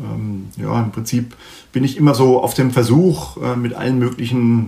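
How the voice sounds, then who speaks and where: An unremarkable speaking voice at a moderate pace. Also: man. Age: 50s. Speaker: sales director. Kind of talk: interview. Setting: video call.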